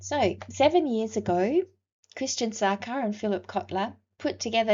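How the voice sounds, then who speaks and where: Fairly slow speech from a woman in an Australian accent. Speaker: university lecturer. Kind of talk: recorded lecture.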